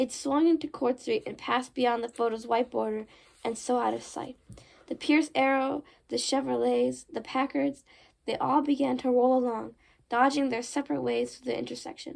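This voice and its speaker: A woman uses a put-on character voice that is raspy and high-pitched. She speaks at a moderate pace. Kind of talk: horror novel read aloud. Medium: read story. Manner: casual, chatty asides.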